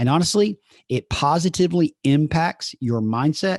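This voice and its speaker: A man with a Southern US accent and lively intonation, dry and close with no echo, over a quiet background. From US South. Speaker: podcast host and coach. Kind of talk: solo podcast monologue. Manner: conversational.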